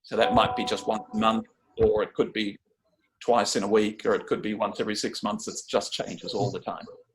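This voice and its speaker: The pace is fairly quick. The speaker talks with an Australian accent. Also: man. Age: 60s. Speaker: charity volunteer. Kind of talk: informational talk.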